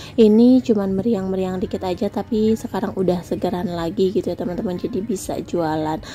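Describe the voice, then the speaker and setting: Against noticeable background noise, a woman talks at a fairly quick pace with hardly any pauses. Her pitch is medium, with ordinary variation. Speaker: housewife vlogger and small vendor. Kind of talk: casual vlog talk.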